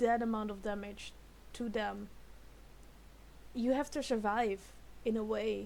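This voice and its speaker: A woman with a non-native accent at a fairly slow pace. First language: not English. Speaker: YouTube reactor. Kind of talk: reaction video commentary. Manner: halting, many repeated words; animated.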